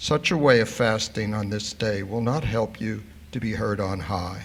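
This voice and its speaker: The speaker's voice has vocal fry, a moderate pace and ordinary pitch variation. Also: man, fairly low pitch for a man. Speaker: congregant reading scripture. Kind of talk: reading aloud. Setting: synagogue service. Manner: formal.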